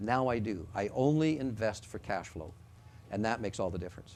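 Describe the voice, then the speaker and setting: Using an ordinary speaking voice, a man talks fairly quickly at a fairly low pitch with ordinary pitch variation. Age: 60s. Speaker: financial presenter. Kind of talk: seminar presentation.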